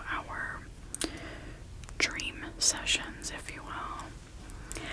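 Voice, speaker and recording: A woman whispering in a calm tone over noticeable background noise. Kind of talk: ASMR roleplay, personal attention, improvised. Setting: studio with light storm sounds in the background. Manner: soft-spoken, calm, relaxing.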